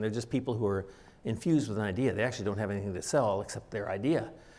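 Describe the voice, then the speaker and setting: Amid audible room echo, a man speaks at a very fast pace with ordinary pitch variation. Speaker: doctor giving a public talk. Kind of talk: lecture.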